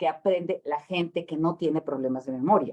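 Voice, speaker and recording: A woman speaks in a dark, mellow tone. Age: 60s. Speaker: education expert. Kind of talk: lecture.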